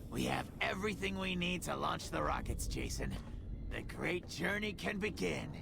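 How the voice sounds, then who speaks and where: Over loud background noise, a man speaks in a put-on character voice. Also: moderate pace. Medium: video game. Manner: wry, bitter.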